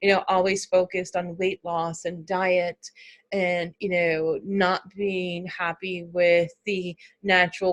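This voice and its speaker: Recorded dry and close with no echo, a woman speaks very slowly in a fairly low, monotone voice. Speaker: life coach for women. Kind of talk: online presentation with screen share. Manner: hesitant, many fillers.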